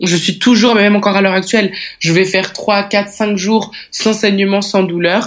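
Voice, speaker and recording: On a very clean recording with a silent background, a woman talks at a moderate pace with monotone, flat intonation. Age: 20s. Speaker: woman living with endometriosis. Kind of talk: personal testimony.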